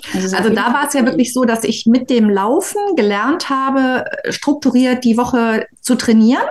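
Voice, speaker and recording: Amid noticeable background noise, the speaker keeps very even loudness, ordinary pitch variation and a moderate pace. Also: woman, high pitch for a woman. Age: 50s. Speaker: midwife and hobby runner. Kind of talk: casual interview chat.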